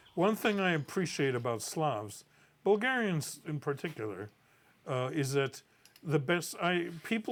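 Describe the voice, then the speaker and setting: Pausing long and often, a man speaks at a moderate pace with lively intonation. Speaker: folk musician. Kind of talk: documentary interview.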